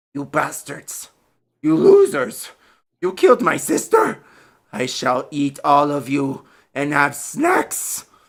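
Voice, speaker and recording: A put-on character voice, furious, growling and raspy, low-to-middle in pitch, at a fairly slow pace with long, frequent pauses. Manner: snarling, furious.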